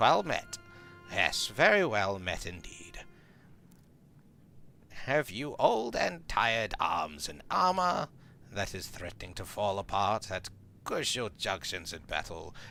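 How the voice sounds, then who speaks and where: A man's put-on character voice at a medium pitch, fairly slow, with very wide pitch swings, big swings in loudness and long, frequent pauses over music in the background. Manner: archaic, theatrical.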